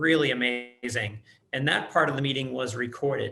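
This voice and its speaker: A man speaks with an American accent at a fairly high pitch. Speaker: planning board member. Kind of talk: public meeting. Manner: hesitant, many fillers.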